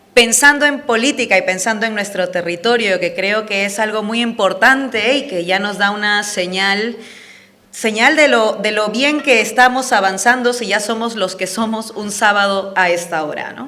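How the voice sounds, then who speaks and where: Noticeable background noise and audible room echo surround a woman speaking at a moderate pace. Her pitch is fairly high, with ordinary variation. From Peru (Andean). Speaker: political speaker. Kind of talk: public talk. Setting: event with live audience. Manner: passionate.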